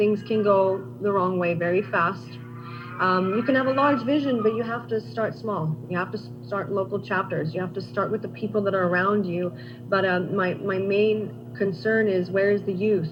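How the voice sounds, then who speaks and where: With music in the background and audible room echo, a woman is heard. Her pitch is medium, with very wide pitch swings. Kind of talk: conference interview. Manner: fast; animated.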